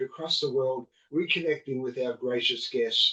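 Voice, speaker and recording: An unremarkable speaking voice from a man, rather unhurried, with normal rises and falls in pitch. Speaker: podcast host.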